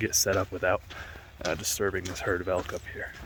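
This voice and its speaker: Noticeable background noise sits behind a quiet voice talking at a fairly quick pace. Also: man. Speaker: landscape photographer. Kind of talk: on-location vlog narration. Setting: outdoors in a national park valley. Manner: casual, hesitant with fillers; talking quietly.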